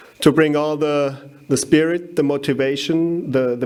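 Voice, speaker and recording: Speaking with a German accent, a man talks at a fairly slow pace with fairly even intonation, amid noticeable background noise and audible room echo. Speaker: winegrower, conference speaker. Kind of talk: conference talk. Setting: stage with audience. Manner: halting, many fillers.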